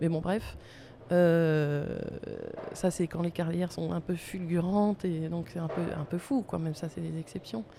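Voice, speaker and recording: A woman with a fairly low pitch speaks at a very slow pace with ordinary pitch variation, with noticeable background noise behind her. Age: 50s. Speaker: artist photographer. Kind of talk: interview. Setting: recording at a museum.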